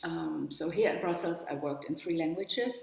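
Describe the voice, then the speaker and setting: A woman speaks with a German accent and a fairly low pitch. Her pitch varies in an ordinary way, and the room echo is audible. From northern Germany, near the Danish border. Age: 70s. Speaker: spiritual workshop leader and psychologist. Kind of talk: webinar talk.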